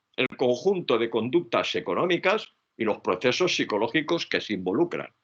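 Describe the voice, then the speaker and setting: A man's fairly high voice with very wide pitch swings and vocal fry. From Spain. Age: 70s. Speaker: psychology professor. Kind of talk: lecture.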